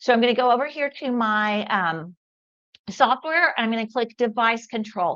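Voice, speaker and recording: A woman with a plain, everyday voice and a fairly high pitch speaks with ordinary pitch variation over a quiet background. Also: moderate pace. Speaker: product demo livestream host. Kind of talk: live product demo with chat Q&A. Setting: livestream. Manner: casual, many fillers.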